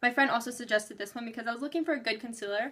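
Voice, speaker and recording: A high-pitched woman's voice, bright and sharp in tone, with fairly even intonation. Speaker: beauty vlogger. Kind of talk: casual product review vlog. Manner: fast.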